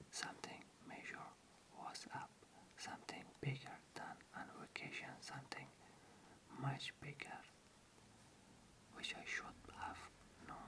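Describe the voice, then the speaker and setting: Someone whispers at a fairly slow pace, leaving long, frequent pauses. Noticeable background noise is present. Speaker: ASMR channel host reading an audiobook. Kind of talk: ASMR bedtime story reading. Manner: soft-spoken, whispered, slow.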